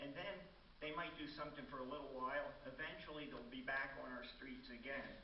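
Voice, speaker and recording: Against noticeable background noise and audible room echo, a man speaks. His pitch is fairly high and his pace fairly quick. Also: fairly even intonation. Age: 70s. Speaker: resident giving public comment. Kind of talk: public comment at city council. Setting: city council meeting.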